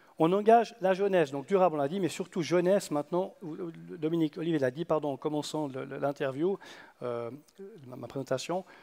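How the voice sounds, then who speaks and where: A man talks at a fairly quick pace with a fairly high pitch and a dark, mellow tone. His loudness swings widely. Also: ordinary pitch variation. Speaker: conference speaker, youth olympic games organiser. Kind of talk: conference talk. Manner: fast; halting.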